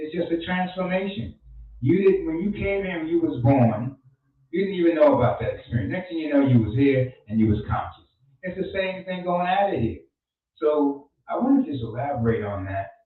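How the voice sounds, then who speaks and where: At a moderate pace, a man speaks at a fairly high pitch with very wide pitch swings. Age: 60s. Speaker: radio host, life coach. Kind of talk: radio talk show monologue.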